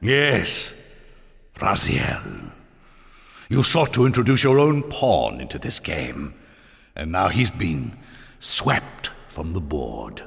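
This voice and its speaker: A man uses a put-on character voice, very deep and low in pitch, with very wide pitch swings. He talks at a very slow pace, with long, frequent pauses. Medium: video game.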